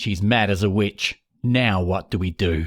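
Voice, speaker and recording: A put-on character voice growls and rumbles with fairly even intonation and very even loudness. The sound is dry and close, with no echo. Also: man, very clean recording, silent background. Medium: read story. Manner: grumbling, absent-minded.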